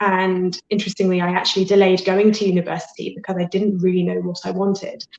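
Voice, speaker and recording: A woman in a British accent, medium pitch, moderate pace and monotone, flat intonation. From Britain. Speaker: life and career coach. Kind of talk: interview. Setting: live video interview.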